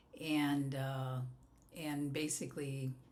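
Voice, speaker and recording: Audible room echo surrounds a woman with a West Coast accent whose very deep, low voice stays monotone and flat. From US West Coast. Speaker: life coach. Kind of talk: podcast interview.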